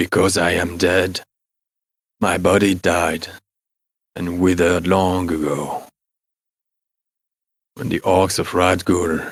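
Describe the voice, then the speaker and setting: A man's put-on character voice, very deep and low, with monotone, flat intonation and long, frequent pauses. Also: fairly slow pace. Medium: actual play. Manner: brooding, halting.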